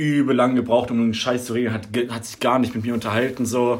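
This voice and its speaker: Noticeable background noise under a man's fairly quick, medium-pitched speech. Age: 20s. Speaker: podcast co-host, IT trainee. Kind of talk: casual chat.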